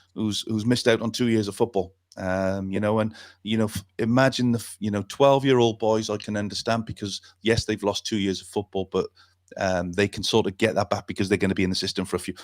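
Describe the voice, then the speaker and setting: In a Welsh accent, a man with a fairly low voice speaks very fast in a flat monotone, recorded dry and close with no echo against a silent background on a very clean recording. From Wales. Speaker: football talk show host and youth coach. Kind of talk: talkback radio discussion. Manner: halting, many fillers and repetitions.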